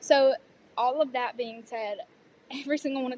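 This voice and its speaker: A woman speaks at a high pitch with a Southern US accent. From US South. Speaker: student performer, pageant titleholder. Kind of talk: interview conversation.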